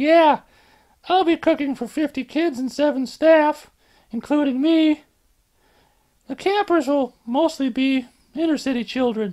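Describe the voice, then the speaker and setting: This put-on character voice is high-pitched and moves at a moderate pace with long, frequent pauses, on a very clean recording with a silent background. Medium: read story. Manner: upbeat, easygoing.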